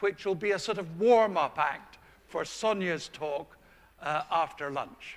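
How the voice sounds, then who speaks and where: A man with a high voice talks at a fairly slow pace, his pitch varying in an ordinary way. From Scotland. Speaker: orthodontist and lecturer. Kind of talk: conference lecture.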